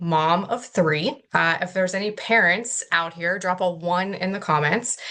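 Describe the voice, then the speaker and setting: A woman with an American accent, medium pitch and ordinary pitch variation. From Pittsburgh, Pennsylvania. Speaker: network marketing distributor. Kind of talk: testimony.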